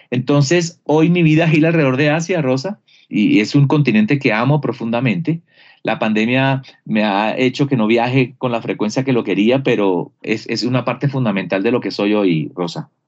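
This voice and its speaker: Talking at a moderate pace, a man with a medium pitch and lively intonation has an unremarkable speaking voice. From Colombia, Barranquilla (Caribbean coast). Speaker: business consultant. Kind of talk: interview.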